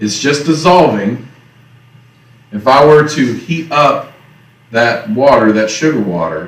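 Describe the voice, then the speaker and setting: Speaking at a fairly slow pace with long, frequent pauses, a man with a Southern US accent uses a fairly high pitch and very wide pitch swings, with audible room echo. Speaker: teacher. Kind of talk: lecture. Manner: casual.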